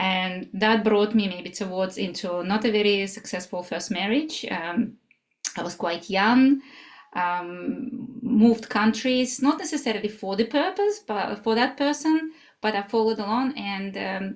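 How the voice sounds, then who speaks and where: With a Russian accent, a woman speaks at a fairly high pitch and with lively intonation. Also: fairly slow pace. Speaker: somatic life coach. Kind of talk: interview. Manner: halting.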